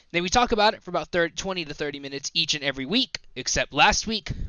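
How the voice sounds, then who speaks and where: At a fairly quick pace, a man speaks with an American accent and lively intonation. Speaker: podcast host. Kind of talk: casual podcast chat. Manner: joking, animated.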